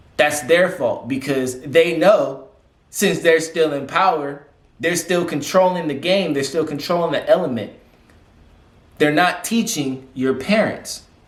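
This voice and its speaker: A man with a high voice speaks fairly slowly with ordinary pitch variation. Room echo is audible. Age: 20s. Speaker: vlogger. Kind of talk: casual monologue. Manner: animated.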